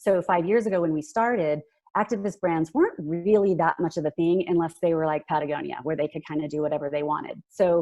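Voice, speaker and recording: A woman's fairly low, dark, mellow voice at a very fast pace with ordinary pitch variation, over a quiet background. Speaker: company CEO. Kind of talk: business presentation.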